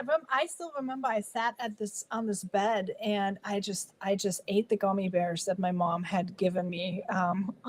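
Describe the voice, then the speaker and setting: Amid noticeable background noise, a woman talks at a moderate pace. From Germany. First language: German. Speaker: guest on inspirational talk show. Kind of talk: interview storytelling.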